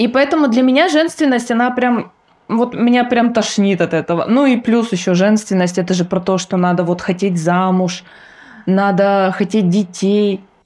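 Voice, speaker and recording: In an ordinary speaking voice, a woman talks at a moderate pace and medium pitch, with ordinary pitch variation and very even loudness, against a quiet background. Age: 30s. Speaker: podcast co-host. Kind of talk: casual chat.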